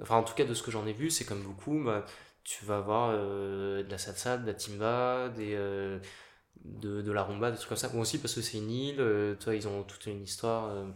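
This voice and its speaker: Heard with audible room echo, a man at a fairly low pitch talks at a moderate pace with fairly even intonation. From Paris, France. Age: 30s. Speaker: pianist. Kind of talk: casual interview.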